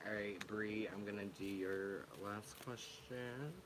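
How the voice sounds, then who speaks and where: Very slowly, a man speaks in a fairly low pitch, with noticeable background noise and audible room echo. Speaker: tarot reader streamer. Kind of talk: live stream tarot reading. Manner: soft-spoken; hesitant, filler-heavy.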